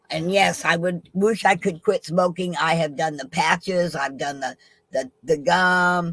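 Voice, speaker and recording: A woman uses a normal speaking voice, fairly low in pitch with fairly even intonation. She talks at a fairly slow pace in a dry, close sound with no echo. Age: 60s. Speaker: guest on live chat stream. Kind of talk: casual chat.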